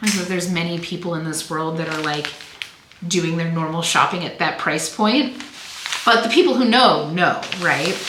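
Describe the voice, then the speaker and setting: Recorded with audible room echo and noticeable background noise, a woman with an American accent speaks at a moderate pace with ordinary pitch variation. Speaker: online clothing reseller. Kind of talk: casual vlog talk to viewers. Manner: chatty, filler-heavy; animated.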